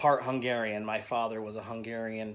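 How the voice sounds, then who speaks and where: A man with an American accent speaks at a moderate pace with fairly even intonation. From United States. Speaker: artist teaching painting. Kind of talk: painting tutorial vlog. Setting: home art studio. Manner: hesitant, many fillers.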